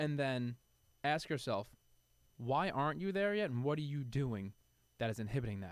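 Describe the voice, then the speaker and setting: In a New York accent, a man speaks in an animated tone on a very clean recording with a silent background. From New York City (Queens). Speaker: supplement industry figure. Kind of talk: podcast interview.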